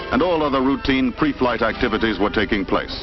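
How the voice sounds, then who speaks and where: Music plays in the background as a man speaks. His intonation is lively and his pace moderate. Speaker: film narrator. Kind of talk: vintage promotional film narration.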